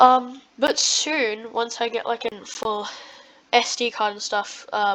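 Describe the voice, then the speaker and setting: A woman's fairly high-pitched voice carries fairly even intonation, with a dry, close sound with no echo despite noticeable background noise. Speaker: gaming youtuber. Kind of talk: gameplay commentary. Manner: halting, many fillers.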